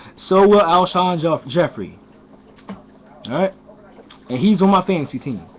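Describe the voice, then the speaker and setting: The speaker moves at a moderate pace, broken by long, frequent pauses. Background noise is noticeable. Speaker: sports fan vlogger. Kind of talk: casual vlog commentary. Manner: hesitant, self-correcting.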